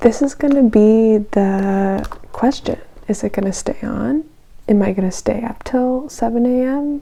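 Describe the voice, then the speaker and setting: A woman's fairly high-pitched voice, at a fairly slow pace, with ordinary pitch variation. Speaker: beauty vlogger. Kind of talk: casual get-ready-with-me vlog. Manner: casual, rambling with fillers.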